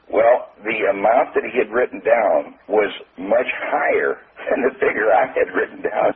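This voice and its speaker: Talking at a moderate tempo, a man is heard through noticeable background noise. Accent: Midwestern American. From US Midwest. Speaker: sales trainer. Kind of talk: interview.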